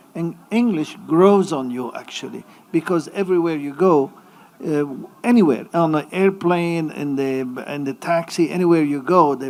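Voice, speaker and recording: The pace is moderate. Noticeable background noise runs under the speech. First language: Arabic and French. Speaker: university administrator. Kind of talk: panel discussion.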